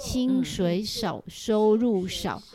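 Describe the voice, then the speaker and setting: Very slow, fairly high speech from a woman, with noticeable background noise. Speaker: personal finance author and retired university teacher. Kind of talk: casual interview chat. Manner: animated; projected, stage-like delivery.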